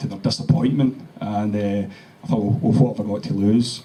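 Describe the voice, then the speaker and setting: A man with a Glaswegian accent, fairly low in pitch, at a moderate pace. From Scotland, Glasgow. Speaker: cancer survivor. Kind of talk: testimony. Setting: meeting with audience. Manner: halting.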